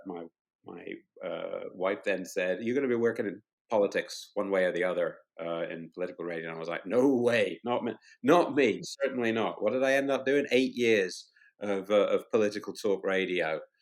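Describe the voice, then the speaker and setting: A British accent comes through here. The delivery moves at a moderate pace. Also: man. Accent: British accent often mistaken for Australian. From Scotland. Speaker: cheesemonger and shop owner, former radio producer. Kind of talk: podcast interview. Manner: hesitant, many fillers and repetitions.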